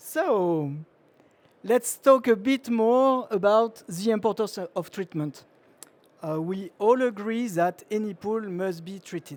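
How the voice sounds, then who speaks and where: Speaking very slowly in a high pitch for a man, this man's loudness swings widely while his pitch varies in an ordinary way, on a very clean recording with a silent background. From France. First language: French. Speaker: chemical engineer and industry speaker. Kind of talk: trade show presentation. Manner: hesitant, frequent uh fillers.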